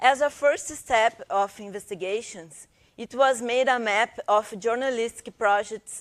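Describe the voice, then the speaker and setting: On a very clean recording with a silent background, a woman speaks with a Brazilian Portuguese accent at a fairly high pitch and ordinary pitch variation. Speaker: professor and researcher. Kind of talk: conference presentation. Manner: reading aloud from script; halting, many fillers.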